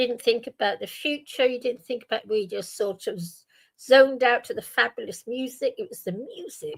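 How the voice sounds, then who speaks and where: A woman with a British accent speaks at a high pitch and a moderate pace. Her pitch swings very widely and her loudness shifts a lot. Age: 70s. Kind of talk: casual chat.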